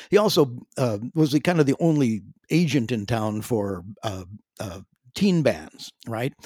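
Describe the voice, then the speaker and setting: A man with a western Canadian accent and a dark, mellow tone talks at a fairly slow pace and medium pitch, swinging very widely in pitch, in a dry, close sound with no echo. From western Canada, Calgary. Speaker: veteran drummer and singer. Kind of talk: interview. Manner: halting.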